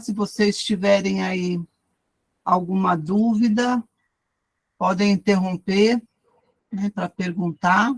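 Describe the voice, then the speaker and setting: A woman speaks at a very slow pace, somewhat breathy, with long, frequent pauses. The sound is dry and close, without echo. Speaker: Bible study teacher. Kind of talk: lecture. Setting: video call.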